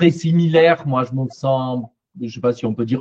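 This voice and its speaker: A man talks at a medium pitch with ordinary pitch variation, recorded dry and close with no echo. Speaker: psychologist and therapy trainer. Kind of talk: panel discussion.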